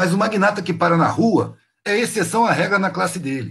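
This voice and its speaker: A high-pitched man's voice with lively intonation. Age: 50s. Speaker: street artist. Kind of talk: casual chat. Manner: animated.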